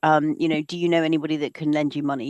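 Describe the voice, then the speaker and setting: Very fast, monotone speech with flat intonation over a quiet background. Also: woman. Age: 60s. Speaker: professor. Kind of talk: webinar Q&A answer. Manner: halting, many fillers and restarts.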